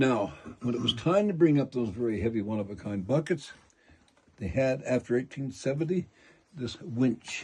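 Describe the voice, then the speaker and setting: Speaking with an American accent, a man sounds somewhat breathy and leaves long, frequent pauses. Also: medium pitch for a man, lively intonation, moderate pace. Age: 80s+. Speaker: mine tour guide. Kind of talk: guided tour talk. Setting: inside a mine with tour group. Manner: animated.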